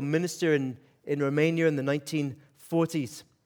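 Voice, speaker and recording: Speaking with a Scottish accent, a man with a fairly high pitch keeps a monotone, flat intonation. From Scotland, Aberdeen. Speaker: pastor. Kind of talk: sermon. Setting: church with audience.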